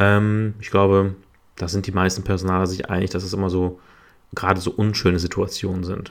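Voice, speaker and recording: Speaking at a fairly quick pace, this man has a very deep, low pitch. His intonation is monotone and flat. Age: 30s. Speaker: podcast host, HR and recruiting specialist. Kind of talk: solo podcast monologue. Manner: hesitant, many filler sounds.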